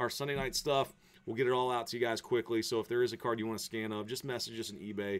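A man speaks at a very fast pace. He has an American accent. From West Virginia. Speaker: sports card break host. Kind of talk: live card break streaming commentary. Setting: live stream studio. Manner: animated. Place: office. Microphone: webcam.

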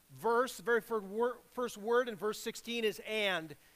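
A man's raised, projected voice at a fairly slow pace. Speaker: preacher. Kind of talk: sermon. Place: church.

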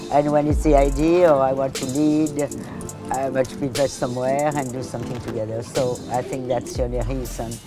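Over music in the background, a woman with a strong French accent speaks at a fairly quick pace with a very deep, low pitch and fairly even intonation. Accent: thick French. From France. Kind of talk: interview answer.

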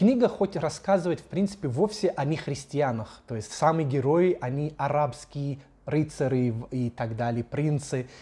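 Speaking at a fairly slow pace, a man with a fairly high pitch sounds somewhat breathy, his tone dark and mellow, his intonation lively. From Jerusalem. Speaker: local Orthodox guide. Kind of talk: documentary commentary.

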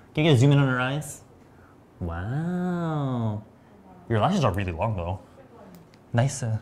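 Over light background noise, a man of medium pitch speaks fairly slowly, his pitch swinging very widely and his pauses long and frequent. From US West Coast, San Diego; California. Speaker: beauty livestream host. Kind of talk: live product demo chat. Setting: livestream studio. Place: studio. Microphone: lapel.

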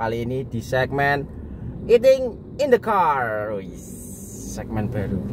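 The recording sounds dry, with no echo, and has noticeable background noise. A man talks at a fairly slow pace. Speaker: family vlogger. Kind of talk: casual vlog chat. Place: car. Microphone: phone near.

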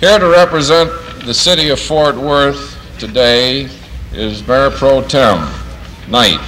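A man at a very slow pace, long, frequent pauses, and light background noise. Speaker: master of ceremonies, plant manager. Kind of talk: ceremony emcee speech, 1950s newsreel style. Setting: outdoor ceremony with PA system. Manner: formal, brisk, clear. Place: factory. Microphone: old recording.

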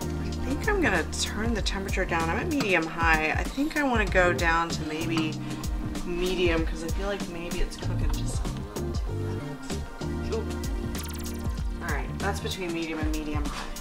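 Over loud music in the background, a woman speaks at a moderate pace. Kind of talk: tutorial. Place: kitchen.

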